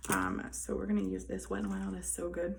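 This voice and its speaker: A quiet woman's voice with audible room echo. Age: 20s. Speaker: beauty vlogger. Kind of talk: makeup tutorial. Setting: indoors in a hallway.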